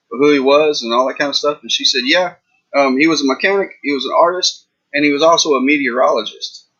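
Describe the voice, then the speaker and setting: With a Texas accent, a man talks at a very fast pace. His pitch is fairly high. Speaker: reseller youtuber. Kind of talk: casual livestream chat. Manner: casual, rambling with fillers.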